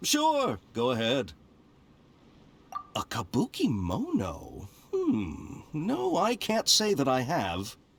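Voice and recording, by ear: In a put-on character voice, the speaker goes at a slow pace with very wide pitch swings, vocal fry and a slightly husky edge. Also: man, medium pitch for a man.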